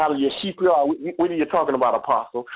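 A man's fairly high-pitched, animated voice with ordinary pitch variation. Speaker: preacher. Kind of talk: sermon. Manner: animated, fervent.

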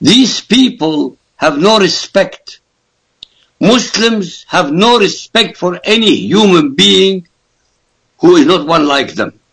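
Speaking very slowly, a man with an Arabic accent uses a high-pitched voice. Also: lively intonation. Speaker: author and political commentator. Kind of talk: radio interview. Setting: Skype call. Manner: forceful.

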